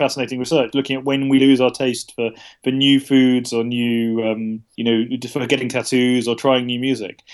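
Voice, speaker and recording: A man with a British accent speaks at a fairly quick pace in a medium pitch. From UK. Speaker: journalist and author. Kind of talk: interview. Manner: hesitant, many fillers.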